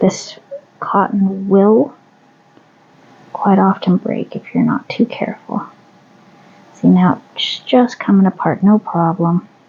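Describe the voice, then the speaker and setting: A woman at a medium pitch, relaxed in tone, with ordinary pitch variation, a very slow pace, long, frequent pauses and noticeable background noise. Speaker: crochet hobbyist video maker. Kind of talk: casual tutorial while working. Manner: relaxed, chatty.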